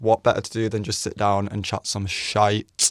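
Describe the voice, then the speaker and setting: The man speaks with an English accent at a fairly low pitch. The recording is very clean, with a silent background and a dry, close sound with no echo. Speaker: vlogger, former model. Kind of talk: casual chat, story time. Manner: monotone.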